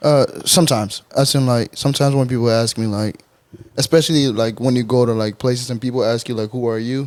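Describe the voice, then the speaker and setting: Speaking with a West African accent, a man delivers his words at a very fast pace. His pitch sits in the medium range, and his intonation is fairly even. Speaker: podcast co-host. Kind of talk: casual chat.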